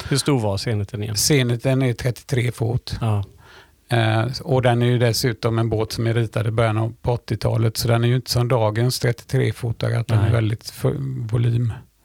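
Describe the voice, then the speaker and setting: A man speaks at a medium pitch and moderate pace, somewhat breathy, with very even loudness and a monotone, flat intonation. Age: 60s. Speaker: sailor and teacher. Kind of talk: casual interview.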